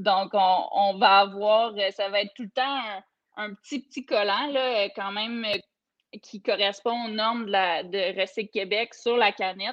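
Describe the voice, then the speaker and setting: A woman's fairly high voice at a very slow pace. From Quebec, Eastern Townships. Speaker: microbrewery co-owner. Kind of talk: interview.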